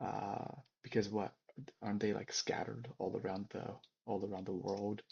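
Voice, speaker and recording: A man with an American accent, fairly low pitch, a dark, mellow tone, vocal fry and a monotone, flat intonation. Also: moderate pace. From China, then US. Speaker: podcast co-host. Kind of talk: casual chat.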